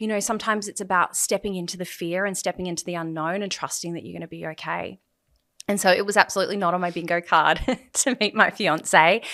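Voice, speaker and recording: A woman with an Australian accent talks at a very fast pace in a medium pitch with a bright, sharp tone. Her intonation stays fairly even while her loudness swings widely, and the recording is very clean with a silent background. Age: 30s. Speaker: podcast guest in recovery. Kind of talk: interview, personal testimony.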